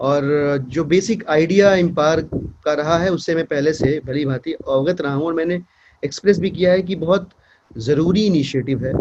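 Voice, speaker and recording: A man with a Bihari accent, fairly high pitch and ordinary pitch variation. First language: Bhojpuri (speaking Hindi). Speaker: politician. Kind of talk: speech at event. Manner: hesitant with fillers.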